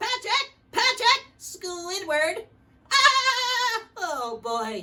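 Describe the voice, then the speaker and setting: The put-on character voice is squeaky and nasal, extremely high in pitch, and delivered at a very slow pace. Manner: cartoonish, excited.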